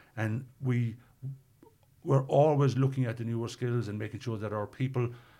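A man with a Cork accent, fairly even intonation and a fairly quick pace. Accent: Cork Irish. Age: 60s. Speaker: tech company executive. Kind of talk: interview.

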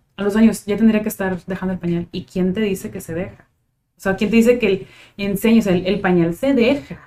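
A woman with a northern Mexican accent speaks in a dark, mellow tone at medium pitch, with fairly even intonation and a fairly quick pace. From Tijuana, Mexico. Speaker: psychologist. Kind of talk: casual chat.

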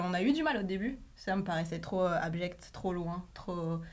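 Amid audible room echo, a woman with a fairly low pitch speaks with hardly any pauses. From France. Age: 30s. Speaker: journalist. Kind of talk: casual chat.

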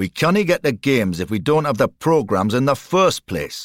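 A man puts on a gruff, growling character voice at a medium pitch and a moderate pace, on a very clean recording with a silent background.

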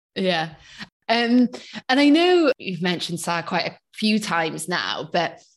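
A woman in a South Wales accent. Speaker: podcast host. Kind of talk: interview.

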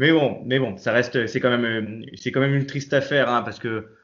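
A man at a moderate pace and medium pitch, a plain, everyday voice. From Nice, southern France. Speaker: football fan commentator. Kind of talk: casual chat.

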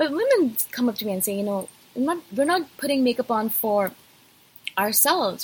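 A husky voice with a rough edge, lively intonation and a moderate pace. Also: woman.

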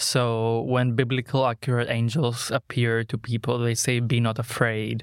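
In a very clean recording with a silent background and a dry, close sound with no echo, a man with a Greek accent talks at a moderate pace and a medium pitch, his loudness very even, his intonation monotone and flat, and hardly any pauses. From Greece. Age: 20s. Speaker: artist and mask maker. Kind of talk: interview conversation. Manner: articulate, eloquent, philosophical.

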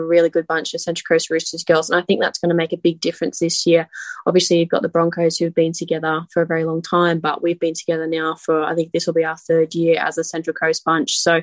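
A woman with an Australian accent speaks at a fairly quick pace and fairly low pitch, the sound dry and close with no echo. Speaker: rugby league player. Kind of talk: interview.

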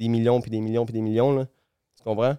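A man with a Quebec accent speaks at a medium pitch in a dark, mellow tone with monotone, flat intonation. The sound is dry and close with no echo, a very clean recording with a silent background. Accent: Québécois French. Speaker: race car driver. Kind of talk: casual chat.

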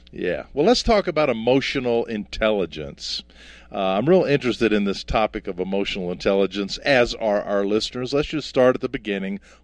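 Lively intonation marks this man's speech at a fairly quick pace. He has a plain, everyday voice at a medium pitch. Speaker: podcast host. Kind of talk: interview.

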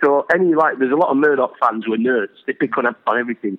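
A very fast-talking man with a Yorkshire accent, a fairly high pitch and ordinary pitch variation, over noticeable background noise. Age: 50s. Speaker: actor. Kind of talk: casual chat.

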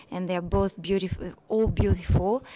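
A woman's medium-pitched, unremarkable speaking voice with ordinary pitch variation. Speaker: watch specialist at auction house. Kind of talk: interview. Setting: in person, hotel in Monaco.

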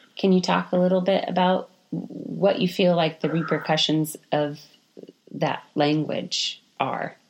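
A woman with a plain, everyday voice talks at a fairly slow pace in a fairly low pitch with ordinary pitch variation. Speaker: podcast co-host. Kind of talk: casual interview conversation.

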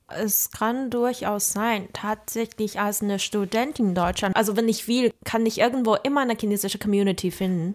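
A woman's fairly high voice at a moderate pace, fairly even in intonation, with hardly any pauses. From China. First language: Mandarin Chinese (speaking German). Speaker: podcast host, university student. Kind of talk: interview conversation.

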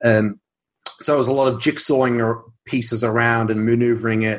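In an Australian accent, a man talks at a fairly quick pace with a medium pitch and fairly even intonation. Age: 20s. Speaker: science fiction author. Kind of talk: casual interview.

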